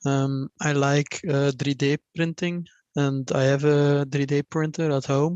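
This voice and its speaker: Words come at a fairly slow pace from a speaker with a non-native accent. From Belgium. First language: not English. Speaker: engineering student. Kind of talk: self-introduction in a meeting. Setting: video call. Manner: halting, many fillers.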